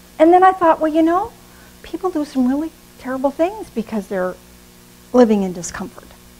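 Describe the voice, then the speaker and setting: With an American accent, a woman talks at a fairly quick pace and a high pitch, her pitch swinging very widely between long, frequent pauses, while music plays in the background. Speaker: pastor. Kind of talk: sermon.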